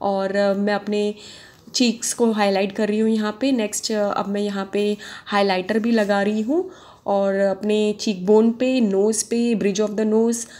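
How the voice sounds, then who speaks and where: On a very clean recording with a silent background, a woman with a fairly high yet dark, mellow voice speaks in a flat monotone at a fairly slow pace. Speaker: beauty vlogger. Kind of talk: tutorial. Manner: chatty, conversational.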